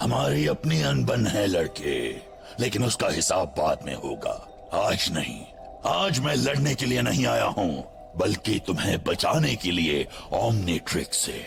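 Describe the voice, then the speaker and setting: With clear music in the background, a man puts on a character voice. It sits fairly low and moves at a fairly slow pace. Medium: fan dub. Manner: grave, commanding.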